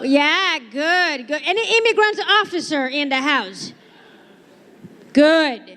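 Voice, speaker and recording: Using a raised, projected voice, a woman speaks at a high pitch and a very slow pace, with very wide pitch swings and long, frequent pauses. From Brazil. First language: Portuguese. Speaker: stand-up comedian. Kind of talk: stand-up. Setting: stage with audience.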